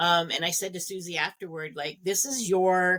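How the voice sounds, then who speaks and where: Her voice is a plain, everyday voice, fairly low in pitch for a woman. She speaks at a moderate pace with ordinary pitch variation. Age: 60s. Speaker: radio interviewer, podcast co-host. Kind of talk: interview.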